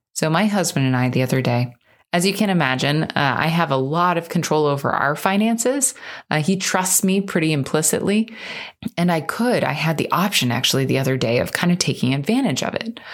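Her fairly low voice moves through very wide pitch swings at a fairly quick pace while the loudness stays very even. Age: 30s. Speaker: podcast host and financial coach. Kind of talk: casual monologue. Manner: unscripted, conversational.

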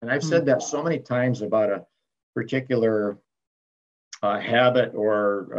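A normal speaking voice from a man at a moderate pace and medium pitch. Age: 60s. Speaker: retired pastor and author. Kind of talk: interview, reflective testimony.

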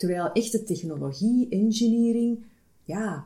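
A somewhat breathy woman's voice in a dark, mellow tone at a very slow pace. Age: 30s. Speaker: HR manager. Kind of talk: interview. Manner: hesitant, many filler sounds.

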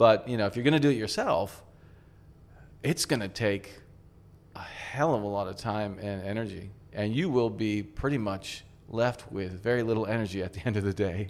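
At a moderate pace, a man with a fairly low pitch and ordinary pitch variation speaks with long, frequent pauses. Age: 50s. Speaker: craft brewery co-owner. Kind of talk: casual chat. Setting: in a bar.

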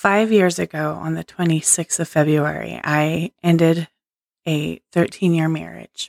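A woman talks at a fairly slow pace. The sound is dry and close, with no echo. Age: 40s. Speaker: podcast host. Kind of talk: inspirational monologue. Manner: unscripted, stream of consciousness.

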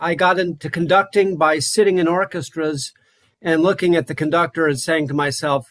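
Recorded dry and close with no echo, a man with an American accent speaks in a high voice with ordinary pitch variation. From Wyoming, US. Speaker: conductor and clarinetist. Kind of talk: interview.

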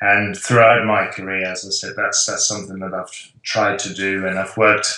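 A man's bright, sharp voice in a Dutch accent, fairly low in pitch and monotone, with flat intonation over a quiet background. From Netherlands. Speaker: professor, sports nutrition researcher. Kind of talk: interview conversation.

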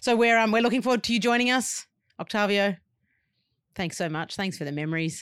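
A woman with an Australian accent speaks at medium pitch with an animated, warm tone and lively intonation. Her pace is fairly quick, with long, frequent pauses, on a very clean recording with a silent background. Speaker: podcast host. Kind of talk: casual chat.

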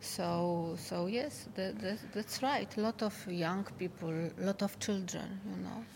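Somewhat breathy, a woman speaks at a medium pitch and a fairly slow pace with a Polish accent. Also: ordinary pitch variation, hardly any pauses. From Poland. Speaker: tunnelling engineer. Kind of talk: interview. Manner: halting.

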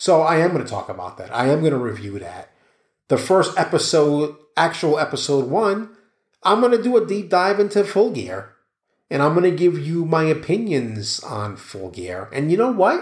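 A man's fairly high voice with an American accent, at a moderate pace, with very wide pitch swings and big swings in loudness. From US Northeast (New York City). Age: 40s. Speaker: podcast host, journalist and PR professional. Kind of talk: casual solo monologue. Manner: rambling, halting with fillers.

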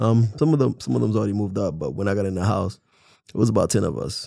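Against a quiet background, a man speaks with a dark, mellow tone, a fairly low pitch and vocal fry. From Haiti. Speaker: podcast co-host. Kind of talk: casual chat.

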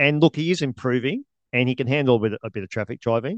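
A man with an Australian accent at a very fast pace, the sound dry and close with no echo. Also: quiet background. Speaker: podcast co-host. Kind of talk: casual chat about sport.

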